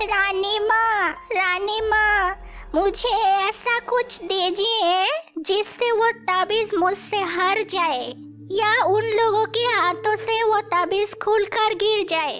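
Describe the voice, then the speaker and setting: An extremely high-pitched, female-sounding cartoonish character voice at a very slow pace, with clear background noise. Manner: sly, scheming.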